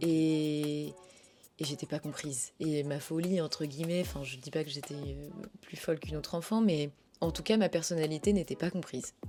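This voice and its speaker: Over music in the background, someone talks at a moderate pace with ordinary pitch variation. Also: woman, very deep, low pitch for a woman. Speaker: voice actor. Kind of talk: interview answer. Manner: casual, conversational.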